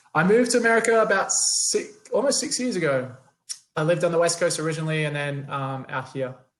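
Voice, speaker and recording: Very wide pitch swings at a very fast pace, with audible room echo. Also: man, high pitch for a man. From Australia. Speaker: company CEO, panelist. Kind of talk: panel discussion.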